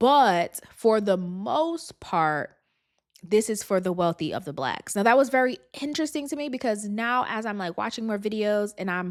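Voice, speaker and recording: The delivery is animated and moderately paced, with very wide pitch swings. The recording is very clean, the background silent. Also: woman, fairly high pitch for a woman. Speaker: podcast host. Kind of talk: casual commentary.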